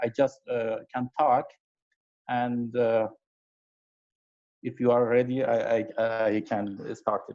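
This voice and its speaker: A man with an Iranian accent speaks very slowly. He leaves long, frequent pauses. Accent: Iranian (Persian) English. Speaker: amateur astronomer, presenter. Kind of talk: conference talk. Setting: video call. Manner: halting.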